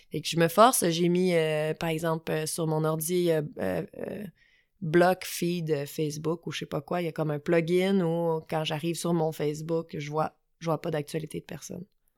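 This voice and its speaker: With a normal speaking voice, a woman talks at a fairly low pitch and fairly slow pace with fairly even intonation, on a very clean recording with a silent background. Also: dry, close sound with no echo. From Quebec, south shore of Montreal. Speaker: climbing gym owner. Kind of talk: casual interview. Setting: recorded in person in Glen Sutton.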